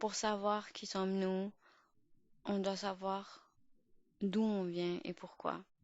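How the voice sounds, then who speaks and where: Very slow speech with an Urdu accent, monotone, flat intonation and long, frequent pauses. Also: woman, medium pitch for a woman. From Pakistan. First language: Urdu (speaking French). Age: 20s. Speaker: podcast host. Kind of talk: podcast monologue. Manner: halting, many fillers and restarts.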